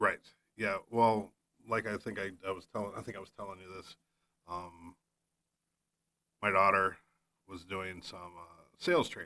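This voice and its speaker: A man with a fairly low pitch and a bright, sharp tone talks at a moderate pace, his loudness swinging widely between long, frequent pauses. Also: fairly even intonation. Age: 50s. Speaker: podcast host, real estate agent. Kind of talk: casual chat. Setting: studio. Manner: halting.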